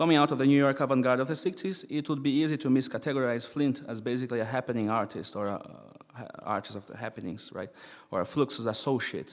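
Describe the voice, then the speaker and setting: Male voice with a non-native accent, very fast pace, big swings in loudness and ordinary pitch variation. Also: medium pitch for a man. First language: not English. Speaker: experimental musician and philosopher. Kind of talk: lecture read from paper.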